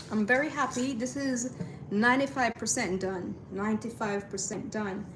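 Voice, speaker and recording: A woman talks at a moderate pace with a strong Caribbean accent and ordinary pitch variation. Her pitch is fairly high, and background noise is noticeable. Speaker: artist livestreamer. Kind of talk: casual livestream chat. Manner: relaxed, with frequent fillers.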